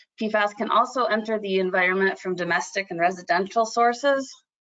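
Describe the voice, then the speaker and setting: A woman speaks with a Midwestern accent. Her pace is moderate. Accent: Midwest. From Michigan, US Midwest. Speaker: environmental agency scientist. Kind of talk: webinar presentation.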